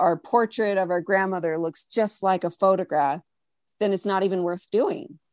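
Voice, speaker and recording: A woman speaks with an American accent in an unremarkable speaking voice, at medium pitch with ordinary pitch variation. The sound is dry and close with no echo, over a quiet background. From US, Mexican American. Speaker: artist. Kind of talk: casual chat.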